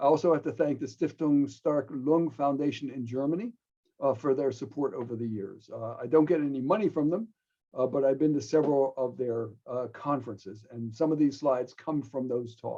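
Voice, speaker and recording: The voice has a dark, mellow tone, moving at a fairly quick pace with ordinary pitch variation. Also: man, fairly high pitch for a man. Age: 70s. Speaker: pediatric pulmonologist professor. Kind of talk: lecture. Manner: halting.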